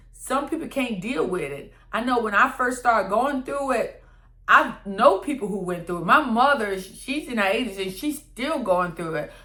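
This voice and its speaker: Bright and sharp in tone, a woman's high-pitched voice makes very wide pitch swings at a moderate pace, with audible room echo. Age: 60s. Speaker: lifestyle vlogger. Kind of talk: personal vlog monologue. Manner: conversational, repetitive.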